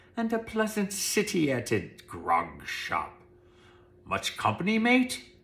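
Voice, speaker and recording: A man puts on a gruff character voice with a high pitch, speaking at a fairly slow pace. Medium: read story. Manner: rough, gruff.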